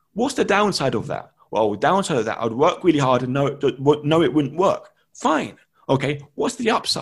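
Fairly high in pitch and somewhat breathy, a man's voice swings very widely in pitch. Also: moderate pace. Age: 20s. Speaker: dyslexia advocate and teaching assistant. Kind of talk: interview. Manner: halting, with repetitions; animated.

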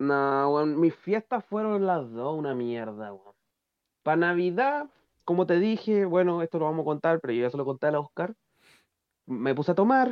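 With a Chilean accent, a man talks at a moderate pace. His fairly high pitch swings very widely. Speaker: podcast co-host. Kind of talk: casual chat.

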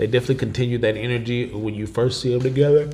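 A man's medium-pitched voice comes through with noticeable noise in the background. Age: 30s. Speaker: podcast host. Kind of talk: casual chat. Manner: animated.

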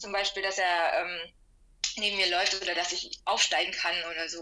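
Her tone is bright and sharp. The woman keeps a moderate pace. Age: 30s. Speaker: energy healer with a medical profession. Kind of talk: casual interview.

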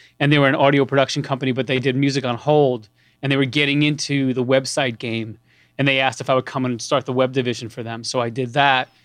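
A very fast man with a New York accent, medium pitch, monotone, flat intonation and a quiet background. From New York, Long Island. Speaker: music producer. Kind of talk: interview.

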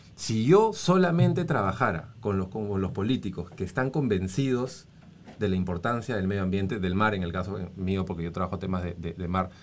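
In an unremarkable speaking voice, a man talks at a moderate pace with a fairly low pitch and lively intonation. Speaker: former congressman and environmental NGO director. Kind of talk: casual interview chat.

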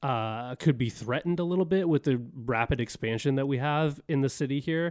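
A plain, everyday voice: a man at a fairly high pitch, moderate pace and ordinary pitch variation, over a quiet background. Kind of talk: casual chat.

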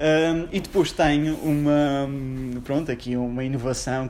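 Fairly high in pitch, this man has a normal speaking voice and fairly even intonation. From Portugal, Madeira (Funchal). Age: 20s. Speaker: lawyer. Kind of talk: casual interview.

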